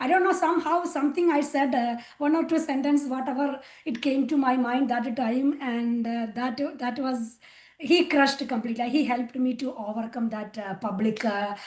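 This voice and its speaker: Moderate pace with ordinary pitch variation. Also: woman, high pitch for a woman. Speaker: spiritual volunteer sharing testimony. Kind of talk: testimony. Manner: hesitant, many fillers.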